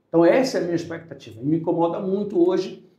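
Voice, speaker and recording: Very fast and high-pitched, a man talks with a dark, mellow tone and ordinary pitch variation, with audible room echo. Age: 60s. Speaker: lawyer and political candidate. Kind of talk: podcast interview. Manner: hesitant, self-correcting.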